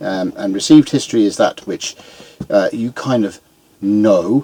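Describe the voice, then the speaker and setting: A man with a British accent speaks at a fairly low pitch with ordinary pitch variation. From Britain. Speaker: YouTuber, amateur historian. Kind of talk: casual monologue. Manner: halting, many fillers.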